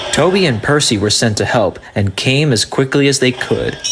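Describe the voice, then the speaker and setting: Against noticeable background noise, a man at medium pitch talks at a moderate pace with lively intonation and very even loudness. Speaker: fan dub narrator. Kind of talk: children's story narration with character voices. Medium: dub.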